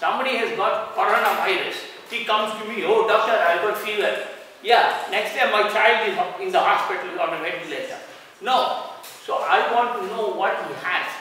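A man projects a raised voice with lively intonation. Strong room echo surrounds him, with light background noise underneath. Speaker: doctor giving a lecture. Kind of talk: lecture. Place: hall. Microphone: camera far.

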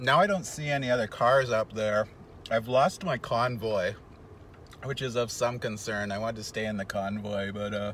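A man at a moderate pace with ordinary pitch variation, in dry sound with no echo and light background noise. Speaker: road trip vlogger. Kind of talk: casual vlog chat. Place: car. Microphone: phone near.

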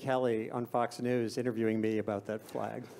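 The pace here is fairly quick. It belongs to a man. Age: 60s. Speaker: journalist and panel moderator. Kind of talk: moderated panel discussion. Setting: conference stage with audience. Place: stage. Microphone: handheld.

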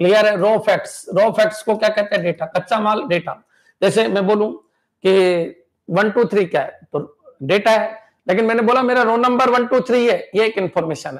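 Speaking at a moderate pace with ordinary pitch variation, a man with a high pitch talks over a quiet background. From India. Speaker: computer science exam coaching teacher. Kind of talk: live online lecture. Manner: animated. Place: studio. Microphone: viewers report volume problems; lapel.

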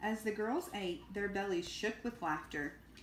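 The natural reading voice carries fairly even intonation.

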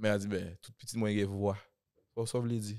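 A man is speaking against a quiet background. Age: 20s. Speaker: rapper; podcast host or guest. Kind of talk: casual chat. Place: studio. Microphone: studio mic.

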